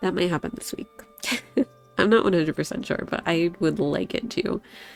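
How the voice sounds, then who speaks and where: A woman with a fairly low pitch and ordinary pitch variation at a fairly quick pace, with music in the background. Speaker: streamer. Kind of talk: casual talk to stream.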